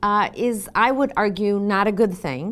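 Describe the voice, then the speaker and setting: A normal speaking voice from a woman, medium in pitch and fairly slow, on a very clean recording with a silent background. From US Northeast, Boston. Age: 60s. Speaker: former government official and social work fellow. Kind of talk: lecture.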